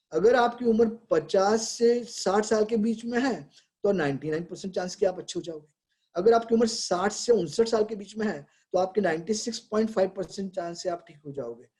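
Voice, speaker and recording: A man with a high pitch and a dark, mellow tone. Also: ordinary pitch variation, moderate pace, big swings in loudness. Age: 70s. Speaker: pediatrician. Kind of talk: webinar talk. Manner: conversational.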